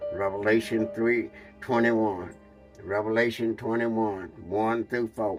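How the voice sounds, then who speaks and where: With music in the background, a man speaks fairly slowly at a fairly low pitch. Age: 80s+. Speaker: pastor. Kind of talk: interview answer quoting scripture.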